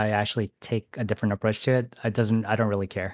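A man with an American accent talks in a medium pitch and monotone, flat intonation, with a dry, close sound with no echo and a very clean recording with a silent background. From US Midwest, Michigan. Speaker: speedrunner and streamer. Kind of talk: casual interview chat.

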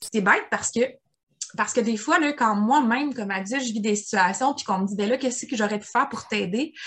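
This woman has a fairly high voice and speaks with a Quebec accent. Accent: Québécois French. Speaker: podcast co-host. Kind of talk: casual chat.

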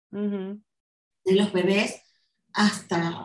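A woman speaks at a very slow pace and medium pitch. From Venezuela. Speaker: marketing executive. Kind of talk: interview conversation.

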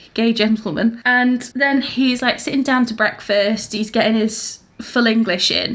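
This is an unremarkable speaking voice: a woman with a fairly high pitch talks at a fairly slow pace. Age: 20s. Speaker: podcast co-host. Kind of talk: casual chat.

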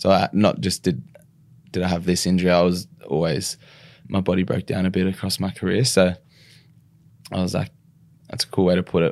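Someone with an Australian accent leaves long, frequent pauses on a very clean recording with a silent background. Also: man, very deep, low pitch for a man, ordinary pitch variation. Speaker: retired rugby league player. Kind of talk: podcast interview. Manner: halting.

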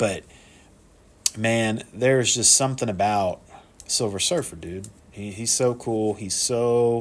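At a fairly slow pace, a man of medium pitch speaks with long, frequent pauses. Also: fairly even intonation. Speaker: solo podcast host reviewing movies. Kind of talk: casual monologue. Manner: halting, many fillers.

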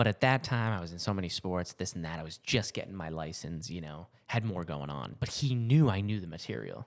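A man talks fairly quickly in an ordinary speaking voice, his intonation lively. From Massachusetts and New Hampshire. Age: 30s. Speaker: flight medic and army veteran. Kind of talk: casual chat.

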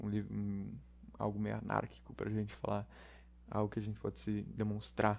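A man at a moderate pace. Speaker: podcast host. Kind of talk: solo casual monologue. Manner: halting, many fillers.

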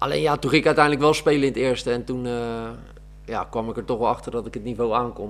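A man speaks at a very fast pace in a medium-pitched voice with vocal fry and ordinary pitch variation. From Netherlands, South Holland (Oegstgeest area). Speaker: amateur footballer and gym teacher. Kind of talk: casual interview.

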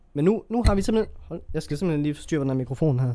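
A man speaks with a dark, mellow tone. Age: 20s. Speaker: podcast host. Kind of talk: solo monologue podcast. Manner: halting, many fillers.

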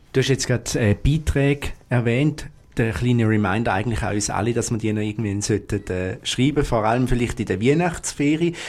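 A man's medium-pitched voice with a Swiss accent, fairly quick with hardly any pauses and ordinary pitch variation, on a very clean recording with a silent background. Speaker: student radio host. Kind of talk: live radio show. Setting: studio.

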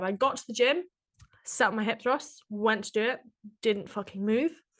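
At a moderate pace, a woman talks in a plain, everyday voice, fairly high in pitch with ordinary pitch variation, against a quiet background. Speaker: podcast co-host and gym worker. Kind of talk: casual chat.

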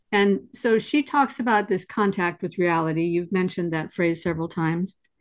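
With an ordinary speaking voice, a woman speaks at a moderate pace and medium pitch. Her intonation is lively, and the background is quiet. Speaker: interviewer and discussion moderator. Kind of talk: intellectual panel discussion.

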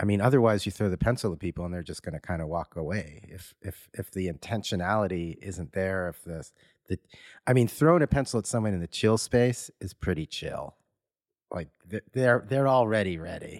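A plain, everyday voice from a man, fairly low in pitch and fairly quick in pace, with ordinary pitch variation and a dry, close sound with no echo. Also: big swings in loudness, very clean recording, silent background. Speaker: podcast co-host and artist. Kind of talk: interview conversation.

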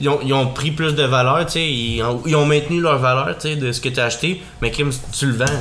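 With a Quebec accent, the speaker keeps a fairly even intonation at a moderate pace, while noticeable background noise and audible room echo fill the recording. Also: man, fairly high pitch for a man. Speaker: podcast host. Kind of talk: casual chat.

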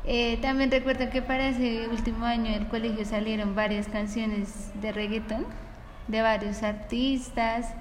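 A woman's fairly high-pitched, monotone, flat voice at a fairly slow pace, with audible room echo and noticeable background noise. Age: 20s. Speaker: university student. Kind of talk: casual chat.

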